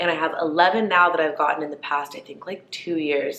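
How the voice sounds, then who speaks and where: Amid noticeable background noise, a woman talks at a fairly quick pace. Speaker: lifestyle vlogger. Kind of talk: casual chat. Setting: sitting down, filming to camera. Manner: chatty, filler-heavy.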